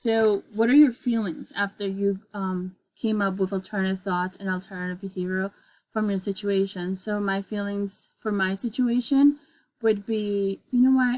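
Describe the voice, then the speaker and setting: A woman with a non-native accent and fairly even intonation, on a very clean recording with a silent background. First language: not English. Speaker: student giving a presentation. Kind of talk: class presentation demonstration. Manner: halting, many fillers.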